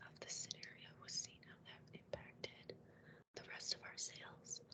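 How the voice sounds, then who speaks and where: Someone is whispering. The pace is very slow. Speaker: student presenting team project. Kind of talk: team meeting presentation. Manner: hesitant, many fillers.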